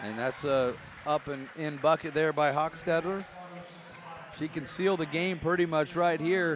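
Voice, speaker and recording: Pausing long and often, a man with a fairly high pitch speaks at a fairly slow pace through noticeable background noise. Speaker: basketball play-by-play commentator. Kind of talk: live commentary. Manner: excitable.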